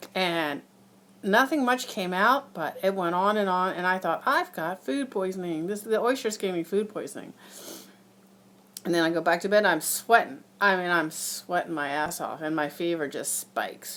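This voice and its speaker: A woman talks at a moderate pace and medium pitch, her pitch varying in an ordinary way, on a very clean recording with a silent background. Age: 60s. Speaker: horse farm worker sharing illness experience. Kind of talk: personal testimony vlog. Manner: casual, hesitant with fillers.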